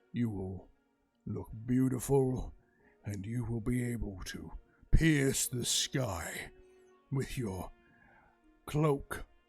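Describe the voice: In a loud, booming put-on character voice at medium pitch, a man speaks at a very slow pace with faint music in the background.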